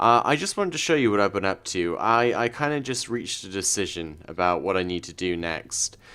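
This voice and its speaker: Talking at a fairly quick pace with hardly any pauses, a man has a fairly low pitch, a bright, sharp tone and lively intonation, in a very clean recording with a silent background. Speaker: gaming video creator. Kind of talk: let's play commentary. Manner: hesitant, many fillers.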